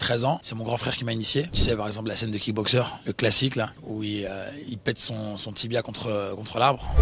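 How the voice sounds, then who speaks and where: Over noticeable background noise, a man at a medium pitch speaks at a fairly quick pace with fairly even intonation. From southern France (Nîmes). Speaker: actor. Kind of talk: interview. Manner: casual, hesitant with repetitions.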